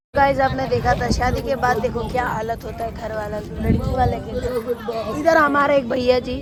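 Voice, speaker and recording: The speech runs on with hardly any pauses and fairly even intonation. Crowd noise sits in the background, with audible room echo. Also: woman, high pitch for a woman. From Guwahati, Assam, India. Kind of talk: casual vlog chat.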